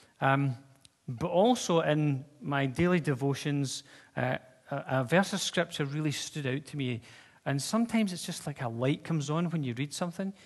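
It is an unremarkable speaking voice with ordinary pitch variation. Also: man, fairly high pitch for a man, moderate pace. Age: 50s. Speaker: pastor. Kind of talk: sermon. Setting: church. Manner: casual, conversational.

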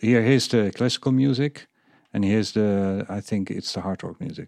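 A man's medium-pitched voice with a Dutch accent, ordinary pitch variation and a moderate pace. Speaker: podcast host and business coach. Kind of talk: interview.

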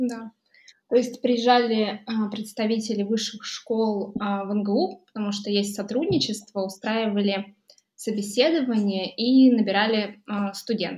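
A woman's somewhat breathy voice moves with fairly even intonation. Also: fairly high pitch for a woman, fairly slow pace. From Buryatia, Russia (Ulan-Ude). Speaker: electricity price analyst, mathematician. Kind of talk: casual interview conversation. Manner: hesitant with filler sounds.

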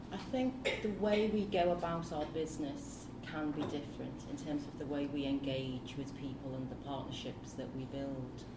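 A woman with a Liverpool accent and a very deep, low pitch, moderate pace, ordinary pitch variation and hardly any pauses, against noticeable background noise. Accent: Scouse. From Liverpool, England. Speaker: dance artistic director. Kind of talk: panel talk. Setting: stage with audience.

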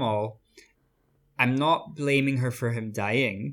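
Speaking at a fairly slow pace, a man talks with an Irish accent. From Ireland, small town. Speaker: podcast co-host discussing a TV series. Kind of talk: casual chat.

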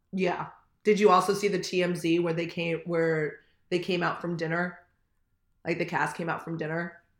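Long, frequent pauses mark the speech of a woman with an American accent and a fairly low pitch, heard with audible room echo. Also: moderate pace. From US West Coast, Manhattan Beach, California. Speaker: podcast co-host. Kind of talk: casual chat. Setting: remote recording. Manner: animated.

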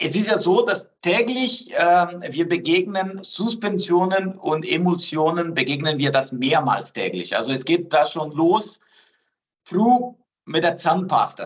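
With a Portuguese accent, a man speaks at a very slow pace. His voice is high in pitch. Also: ordinary pitch variation. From southern Brazil. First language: Portuguese (speaking German). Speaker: research centre director. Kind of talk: interview.

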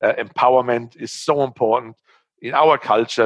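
A man speaks with a German accent. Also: dry, close sound with no echo. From Germany. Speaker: startup founder. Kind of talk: interview. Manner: halting.

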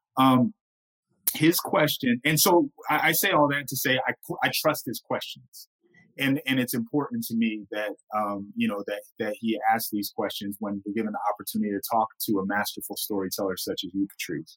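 A normal speaking voice with an American accent, lively intonation and a moderate pace, in a dry, close sound with no echo. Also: man, medium pitch for a man. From Blackfeet, northern Montana plains. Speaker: podcast host and lawyer. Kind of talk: casual chat.

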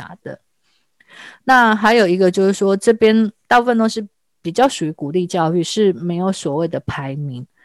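Recorded very cleanly against a silent background, a woman speaks with a Taiwanese accent at a moderate pace. Her pitch is medium, with ordinary variation. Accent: Taiwanese Mandarin. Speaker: mature student and immigrant. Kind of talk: casual interview chat.

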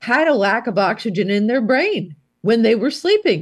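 A woman's voice with very wide pitch swings, at a moderate pace. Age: 70s. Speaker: physician and psychiatrist. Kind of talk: interview.

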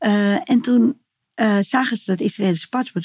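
This woman's voice is somewhat breathy, with a dark, mellow tone. She talks at a moderate pace with ordinary pitch variation. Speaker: healer. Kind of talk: interview, personal story. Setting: in person at her practice space.

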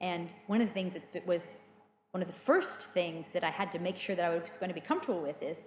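With noticeable background noise behind her, a woman talks at a very fast pace in an American accent. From US, Illinois and California Central Valley. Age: 40s. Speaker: cheesemaker. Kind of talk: interview.

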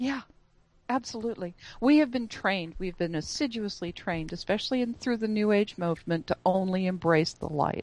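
Using a plain, everyday voice, a woman talks at a fairly quick pace with lively intonation and a medium pitch. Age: 60s. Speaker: author and speaker. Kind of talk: interview.

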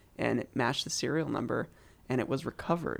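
A man's fairly high voice with vocal fry, ordinary pitch variation and a General American accent. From US Pacific Northwest (Eugene, Oregon). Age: 20s. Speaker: pianist and producer. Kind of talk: casual interview chat.

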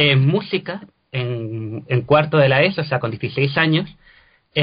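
An ordinary speaking voice is heard here. The pitch rises and falls by an ordinary amount. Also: man. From Cádiz, Andalusia, Spain. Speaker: translator and actor. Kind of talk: interview.

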